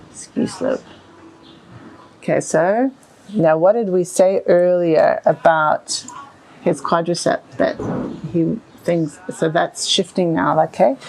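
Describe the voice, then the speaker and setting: A woman with a fairly low pitch and lively intonation speaks at a very slow pace, leaving long, frequent pauses over noticeable background noise. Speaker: equine bodywork practitioner. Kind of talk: tutorial. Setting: stable with a horse.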